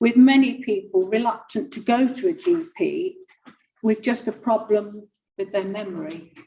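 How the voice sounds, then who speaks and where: A woman's fairly high voice at a moderate pace, with very wide pitch swings. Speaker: charity volunteer. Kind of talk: prepared report at public meeting. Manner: formal.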